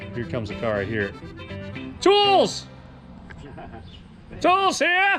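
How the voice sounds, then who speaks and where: Over music in the background, a man speaks at a very slow pace with long, frequent pauses. His loudness swings widely. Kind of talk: casual talk to camera.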